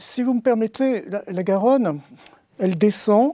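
A man's high-pitched voice with lively intonation at a fairly slow pace, dry with no echo, over a quiet background. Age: 60s. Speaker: novelist; guest. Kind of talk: literary talk show discussion. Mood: reflective, literary. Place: studio. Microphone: lapel.

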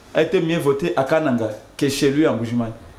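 A man talks with audible room echo and light background noise around him. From DR Congo. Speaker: campaign communications director. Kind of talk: political talk show. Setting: TV studio. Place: studio.

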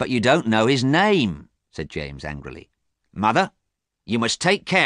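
The background is quiet behind a natural reading voice.

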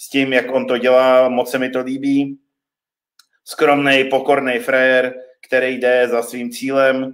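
In a quiet setting, a man delivers his words very slowly. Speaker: gym coach hosting online training. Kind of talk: live stream host introduction. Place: home room. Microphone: webcam.

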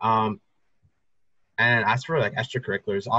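The man's tone is bright and sharp. The sound is dry with no echo, over a quiet background. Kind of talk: informal advice talk. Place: home room. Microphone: video call.

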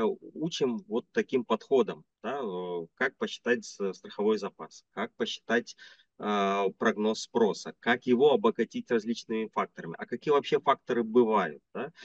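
In a dry sound with no echo and a quiet background, a man at medium pitch speaks at a fairly slow pace with very wide pitch swings. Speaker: business consultant; interviewee. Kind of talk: interview. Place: home room. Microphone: video call.

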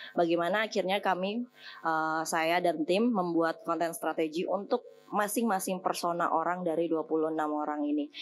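A woman's fairly low voice, a normal speaking voice, at a moderate pace with ordinary pitch variation, very even loudness, and light background noise. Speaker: head of talent at a digital agency, alumni speaker; speaker. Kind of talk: guest lecture to students. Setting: stage with audience in amphitheatre. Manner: casual, chatty. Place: hall. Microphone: podium.

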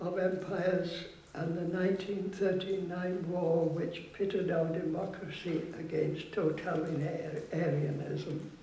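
There is audible room echo as a man speaks at a high pitch with monotone, flat intonation. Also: fairly slow pace, hardly any pauses. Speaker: war veteran; activist. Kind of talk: public speech. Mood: solemn, reflective. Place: hall. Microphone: podium.

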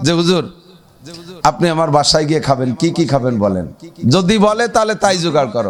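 The voice sounds animated, with very wide pitch swings. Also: man. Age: 50s. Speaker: Islamic preacher. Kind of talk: sermon.

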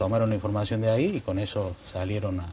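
A man's fairly low-pitched voice with ordinary pitch variation, over light background noise. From Córdoba, Argentina. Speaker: lawyer. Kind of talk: TV panel discussion. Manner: halting. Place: studio. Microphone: lapel.

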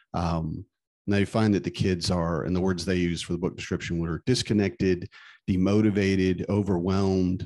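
Very deep and low, a man's dark, mellow voice holds fairly even intonation against a quiet background. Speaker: podcast co-host and stay-at-home dad. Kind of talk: casual chat. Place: home room. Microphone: studio mic.

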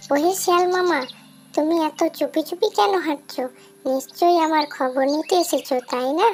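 A woman puts on a cartoonish character voice at an extremely high pitch. She keeps a moderate pace. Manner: quick-witted, teasing.

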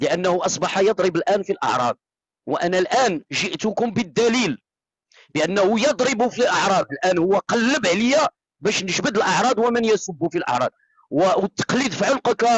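A man's high-pitched voice with lively intonation at a moderate pace, dry with no echo, over a quiet background. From Morocco. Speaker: TikTok live streamer. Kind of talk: heated debate. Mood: angry, accusatory. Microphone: phone near.

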